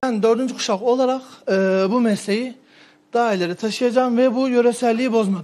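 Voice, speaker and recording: Extremely high-pitched male voice with fairly even intonation. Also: fairly quick pace. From Turkey. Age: 20s. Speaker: pastırma producer. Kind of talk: street interview. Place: shop.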